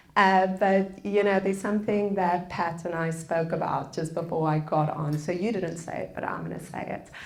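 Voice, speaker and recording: Moderate pace with hardly any pauses and fairly even intonation, amid noticeable background noise and audible room echo. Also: woman, fairly low pitch for a woman. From South Africa. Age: 30s. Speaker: public speaker on forgiveness. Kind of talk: public lecture.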